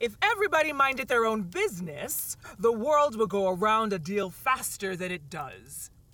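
A woman puts on a character voice that is hoarse and growling, at a fairly high pitch. She keeps a moderate pace with hardly any pauses. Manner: gruff, brusque.

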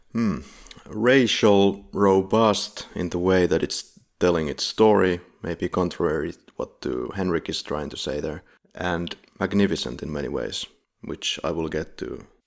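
Speaking at a fairly slow pace with vocal fry, the voice shows ordinary pitch variation. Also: man, very deep, low pitch for a man. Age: 30s. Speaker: podcast host. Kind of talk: casual chat; plot summary narration.

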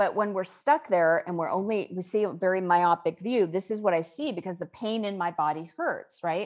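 A woman speaks at a moderate pace with a medium pitch, ordinary pitch variation, hardly any pauses, and a normal speaking voice. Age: 50s. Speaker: author and spiritual teacher. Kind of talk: interview.

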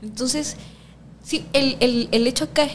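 Over noticeable background noise, a woman with a coastal Ecuadorian accent speaks at a fairly slow pace. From Ecuador, Guayaquil. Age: 20s. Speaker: sociology student and political activist. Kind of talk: casual interview conversation.

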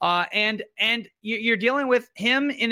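With an American accent, a man uses a raised, projected voice with a bright, sharp tone and lively intonation. The recording is very clean, with a silent background. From New York. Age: 30s. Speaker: political commentator and comedian. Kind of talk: casual chat.

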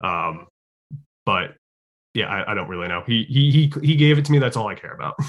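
Using very wide pitch swings and big swings in loudness, a man with an American accent talks at a fairly quick pace, broken by long, frequent pauses. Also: medium pitch for a man. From Connecticut (Fairfield). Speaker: social media creator on city history and tour guide. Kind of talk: interview, casual chat.

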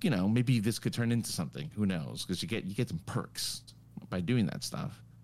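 This man's fairly low voice carries vocal fry and lively intonation. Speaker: podcast co-host. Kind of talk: casual chat. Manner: loud.

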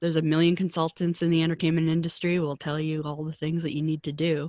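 Fairly low in pitch, a woman with an unremarkable speaking voice talks at a fairly quick pace in a dry, close sound with no echo. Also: very clean recording, silent background. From Canada, Vancouver. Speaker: publicist and career coach for artists. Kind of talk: interview conversation.

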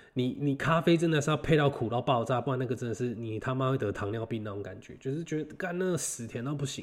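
This man, medium in pitch, talks very fast. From Taiwan. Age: 20s. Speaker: podcast host. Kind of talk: casual solo monologue. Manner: halting, many fillers and repetitions.

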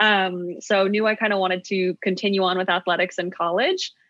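A woman with an American accent speaks at a moderate pace in a normal speaking voice. Her pitch is medium, and her intonation is fairly even. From US, New York City. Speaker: startup co-founder, former college track athlete. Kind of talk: podcast interview.

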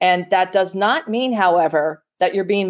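This is an ordinary speaking voice. The pitch varies in an ordinary way. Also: woman. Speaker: podcast host. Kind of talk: interview conversation.

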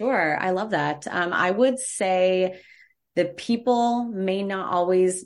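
A woman's medium-pitched voice at a very slow pace, with ordinary pitch variation, against a quiet background. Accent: American. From United States. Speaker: travel agent. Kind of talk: casual chat.

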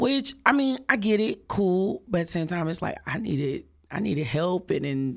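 Speaking with an American accent, a woman sounds animated, her medium-pitched voice rising and falling in very wide swings. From Dallas, Texas (Oak Cliff). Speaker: singer and event planner. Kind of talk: casual interview.

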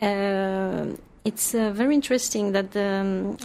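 At a very slow pace, a woman speaks in a French accent with fairly even intonation. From France. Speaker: nutritionist. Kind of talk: interview. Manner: halting.

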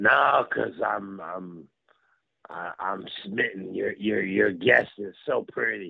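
A man's raspy, put-on character voice at a very slow pace, broken by long, frequent pauses. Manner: facetious, fake-flirty.

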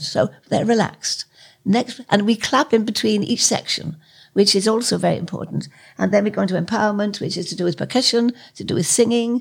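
A woman with vocal fry speaks at a moderate pace and medium pitch, with ordinary pitch variation. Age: 80s+. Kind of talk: interview.

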